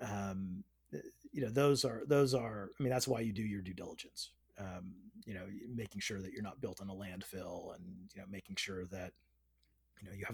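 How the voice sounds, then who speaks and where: A man's somewhat breathy voice moves along fairly quickly, its pitch shifting in an ordinary way. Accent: American. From Northern California. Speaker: real estate investor. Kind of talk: interview. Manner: hesitant, many fillers.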